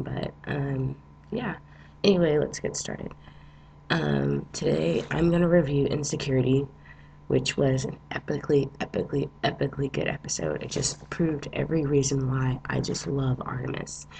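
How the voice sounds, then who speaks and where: Noticeable background noise fills the recording. A man speaks at a moderate pace over it. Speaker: TV episode reviewer. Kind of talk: casual talk to camera.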